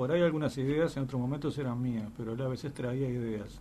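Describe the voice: Delivered at a fast pace, the dark, mellow voice keeps a fairly even intonation. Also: man, medium pitch for a man.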